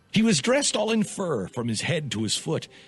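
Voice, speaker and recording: Over music in the background, a man delivers his lines in a dramatic tone with very wide pitch swings. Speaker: radio host. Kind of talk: dramatic poetry reading.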